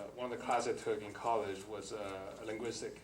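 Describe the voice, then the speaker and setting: Speech in a Chinese accent with audible room echo. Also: man. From China. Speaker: government employee, panelist. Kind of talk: personal story talk on panel. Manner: halting, many fillers.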